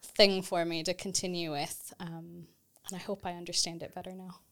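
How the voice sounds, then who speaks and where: In a Texas accent, a woman talks at a moderate pace with a fairly low pitch. The recording is very clean, with a silent background. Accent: Texas-American. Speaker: theology lecturer. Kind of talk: casual academic conversation.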